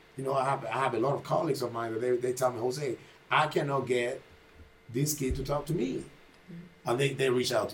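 A man at medium pitch with a Spanish accent, very fast pace and fairly even intonation, over noticeable background noise. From Panama. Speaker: boxing trainer and gym owner. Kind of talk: casual podcast conversation.

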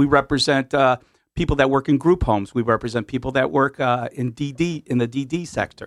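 With an American accent and a normal speaking voice, a man at a fairly high pitch talks at a moderate pace with fairly even intonation, the sound dry and close with no echo. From Connecticut, US. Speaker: union official. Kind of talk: radio interview discussion. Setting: radio studio.

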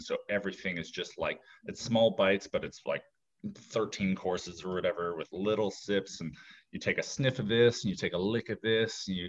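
With an unremarkable speaking voice, a man at a fairly low pitch speaks at a moderate pace with fairly even intonation. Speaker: actor. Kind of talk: casual interview chat.

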